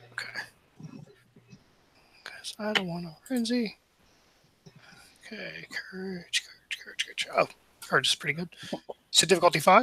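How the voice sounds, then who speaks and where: Mumbling speech at a moderate pace, with long, frequent pauses and noticeable background noise. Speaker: roleplaying game player. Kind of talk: tabletop roleplaying game session. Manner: mumbles.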